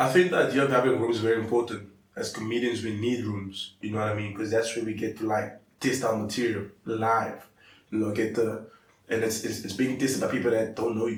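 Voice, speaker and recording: The voice is somewhat breathy, with fairly even intonation at a fairly quick pace. Audible room echo is present. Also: man, medium pitch for a man. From South Africa, coloured community. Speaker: comedian. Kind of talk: casual chat. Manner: fast.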